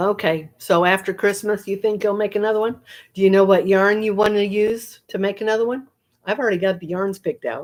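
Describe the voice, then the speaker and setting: A woman speaks at a fairly quick pace in an ordinary speaking voice, with fairly even intonation and medium pitch, on a very clean recording with a silent background. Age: 60s. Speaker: knitting and crochet livestreamer. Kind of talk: casual livestream chat reading viewer comments. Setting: livestream at home. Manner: relaxed, chatty.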